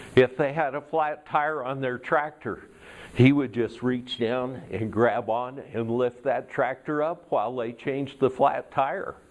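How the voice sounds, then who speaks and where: In a normal speaking voice, a man of medium pitch talks at a fairly slow pace with fairly even intonation. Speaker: Toastmasters speaker. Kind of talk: tall tale storytelling speech.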